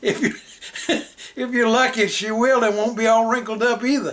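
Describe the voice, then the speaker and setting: At a moderate pace, a man speaks in an extremely high pitch with fairly even intonation. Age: 60s. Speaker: home cook. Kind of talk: casual cooking tutorial. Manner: folksy, conversational.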